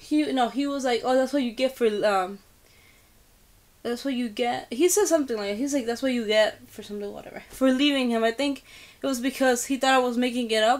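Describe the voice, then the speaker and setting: Here a woman talks at a fairly quick pace. Her pitch is high. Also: ordinary pitch variation. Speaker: vlogger. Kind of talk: casual chat. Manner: hesitant, filler-heavy.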